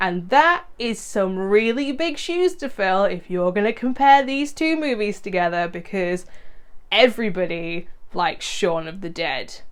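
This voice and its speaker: An enthusiastic woman with a British accent, medium pitch and very wide pitch swings, at a fairly slow pace. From UK. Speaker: horror movie YouTuber. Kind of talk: casual video monologue previewing movies. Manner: conversational, enthusiastic.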